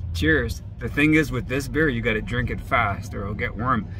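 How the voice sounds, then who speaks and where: Dry sound with no echo amid noticeable background noise. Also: man. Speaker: vlogger. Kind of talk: casual vlog chat.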